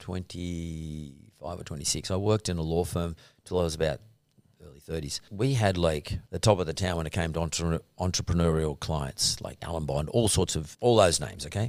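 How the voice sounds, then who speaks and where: A man's very deep, low voice with an Australian accent at a moderate pace, on a very clean recording with a silent background. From Sydney, Australia (Punchbowl). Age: 60s. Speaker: entrepreneur. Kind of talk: interview. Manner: hesitant with fillers.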